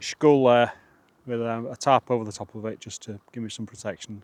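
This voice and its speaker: Recorded dry and close with no echo, a man with a Yorkshire accent talks at a moderate pace. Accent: northern English (Yorkshire). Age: 50s. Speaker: outdoor vlogger. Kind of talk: casual vlog narration. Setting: outdoors, wild camp on moorland. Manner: halting, lots of fillers.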